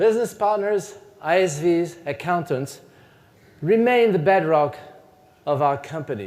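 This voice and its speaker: A high-pitched man with a French accent, speaking fairly slowly with lively intonation. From France. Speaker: company CEO. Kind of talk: keynote speech.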